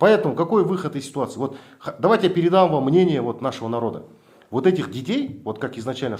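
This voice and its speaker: A man speaks at a fairly quick pace, his pitch making very wide swings. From Kazakhstan. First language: Kazakh (speaking Russian). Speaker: activist blogger. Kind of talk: confrontational meeting with officials.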